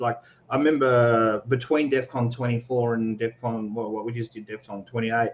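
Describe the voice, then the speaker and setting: A man keeps up a fairly quick pace while noticeable background noise persists. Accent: Australian. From Australia. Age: 40s. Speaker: security researcher and entrepreneur. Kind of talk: casual interview on a livestream. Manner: casual, many fillers and repetitions.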